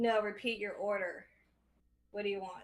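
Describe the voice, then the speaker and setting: Using a put-on character voice, a female-sounding speaker talks at a moderate pace and a medium pitch. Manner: irritable, curt.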